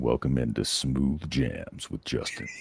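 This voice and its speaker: A man's put-on character voice, very deep and low, with fairly even intonation at a fairly slow pace. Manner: smooth, mellow.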